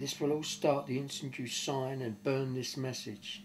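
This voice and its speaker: Light background noise can be heard behind a man as he talks. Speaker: storyteller. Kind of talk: casual storytelling and reading a letter aloud. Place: home room. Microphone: camera far.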